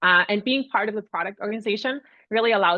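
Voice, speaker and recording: With a slight Austrian accent, a woman speaks with ordinary pitch variation. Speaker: product advisory manager. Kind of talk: webinar presentation. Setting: online webinar.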